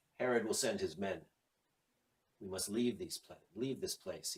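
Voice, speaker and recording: Using a put-on character voice at a moderate pace, the speaker makes very wide pitch swings and big swings in loudness. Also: man, medium pitch for a man. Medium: read story. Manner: mad, fervent.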